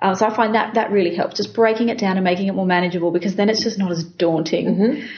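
A somewhat breathy woman's voice in an Australian accent, medium in pitch, at a very fast pace. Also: fairly even intonation. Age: 30s. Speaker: business founder. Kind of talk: interview. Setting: company office.

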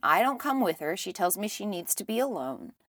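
Over a silent background in a very clean recording, a woman with vocal fry talks at a moderate pace and medium pitch. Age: 30s. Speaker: spiritual podcast host. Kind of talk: solo monologue.

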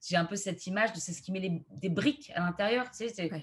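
A somewhat breathy woman's voice at medium pitch. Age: 30s. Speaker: astrologer and video creator. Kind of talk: casual interview.

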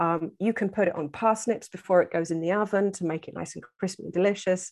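Her medium-pitched voice carries an English accent, and this woman keeps a fairly even intonation. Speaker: herbalist and foraging teacher. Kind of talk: casual interview.

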